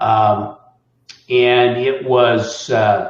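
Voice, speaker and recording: Somewhat breathy, a man speaks at a medium pitch. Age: 60s. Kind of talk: interview answer.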